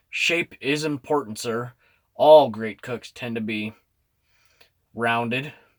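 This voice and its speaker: A gruff, put-on character voice from a man at medium pitch, with ordinary pitch variation, a fairly slow pace, long, frequent pauses and big swings in loudness. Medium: read story. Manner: gruff, muttering.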